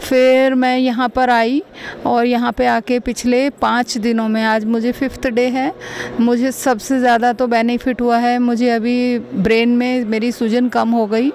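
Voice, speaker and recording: Against noticeable background noise, a woman talks in a high, monotone voice with flat intonation and very even loudness. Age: 50s. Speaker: patient giving testimonial. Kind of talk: testimony.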